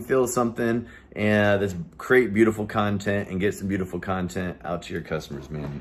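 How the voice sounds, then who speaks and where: A man's fairly low voice with lively intonation. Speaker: marketing company owner. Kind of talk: business talk to camera. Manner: fast; animated.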